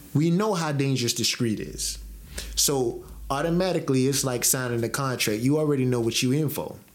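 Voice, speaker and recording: With audible room echo and noticeable background noise, a man talks at a fairly quick pace in a medium pitch with ordinary pitch variation. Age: 30s. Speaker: podcast co-host. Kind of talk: casual chat.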